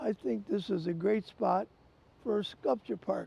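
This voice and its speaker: A man with an American accent speaks at a high pitch and a fairly slow pace. Noticeable background noise is present. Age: 90s. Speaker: entrepreneur and art collector, park founder. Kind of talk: interview. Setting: outdoors.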